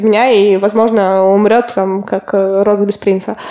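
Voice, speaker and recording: A woman talks at a fairly slow pace with a fairly high pitch, and noticeable background noise is present. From Russia, Kotlas. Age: 20s. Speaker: applied ethics student. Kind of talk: casual chat.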